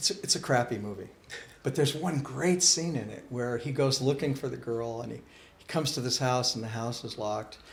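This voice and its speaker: A man talks at a fairly quick pace and medium pitch, with ordinary pitch variation. Vocal fry runs through his voice, and audible room echo surrounds it. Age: 60s. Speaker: Sikh spiritual teacher. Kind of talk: interview. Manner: animated.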